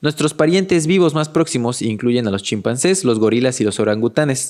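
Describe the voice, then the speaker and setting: A man's ordinary speaking voice at medium pitch, fairly quick in pace, with lively intonation and very even loudness. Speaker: educational content creator summarizing books. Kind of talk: podcast-style book summary.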